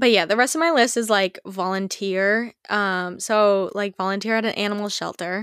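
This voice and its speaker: At a moderate pace and with hardly any pauses, a woman talks in an unremarkable speaking voice of medium pitch with ordinary pitch variation. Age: 20s. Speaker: podcast host. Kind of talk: casual chat. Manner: casual, filler-heavy.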